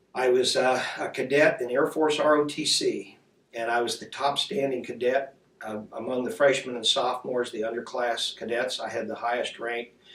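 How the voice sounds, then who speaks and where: A man with a medium-pitched voice and an American accent, over noticeable background noise. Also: fairly even intonation, moderate pace. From US Midwest, Indiana. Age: 60s. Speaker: war veteran. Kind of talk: oral history interview.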